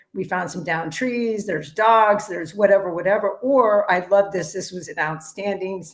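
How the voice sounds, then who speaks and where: A woman's unremarkable speaking voice at a medium pitch. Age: 60s. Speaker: executive director of a cycling nonprofit. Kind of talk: casual chat.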